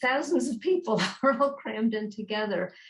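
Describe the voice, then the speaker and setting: Her voice somewhat breathy, a woman speaks at a fairly high pitch with lively intonation. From New York. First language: Yiddish. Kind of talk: interview answer.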